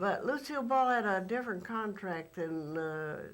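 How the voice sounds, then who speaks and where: A woman with an American accent talks at a fairly slow pace and medium pitch, with lively intonation. Audible room echo surrounds her voice. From Texas. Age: 70s. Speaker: former actress and studio logo model. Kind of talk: interview. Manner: halting, many fillers.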